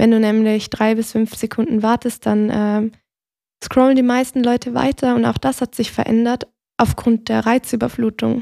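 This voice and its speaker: A woman's fairly high, dark and mellow voice, monotone and flat, at very even loudness, with a dry, close sound and no echo. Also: moderate pace. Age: 20s. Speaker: digital marketing agency employee. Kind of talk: casual interview chat.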